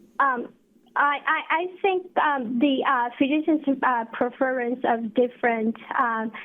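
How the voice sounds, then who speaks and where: At a fairly slow pace, a woman talks in a high voice with ordinary pitch variation and very even loudness. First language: not English. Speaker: researcher presenter. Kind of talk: webinar Q&A. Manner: halting, many fillers.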